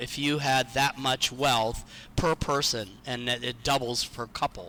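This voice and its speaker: Bright and sharp in tone, a man with an American accent speaks at a fairly slow pace. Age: 60s. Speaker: retiree. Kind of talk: interview.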